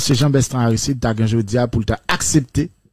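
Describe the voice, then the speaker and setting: A man's somewhat breathy, dark, mellow voice at a medium pitch, fairly slow and with fairly even intonation, in a dry sound with no echo and a quiet background. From Haiti. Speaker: philosophy teacher. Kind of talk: radio debate. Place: studio. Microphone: studio mic.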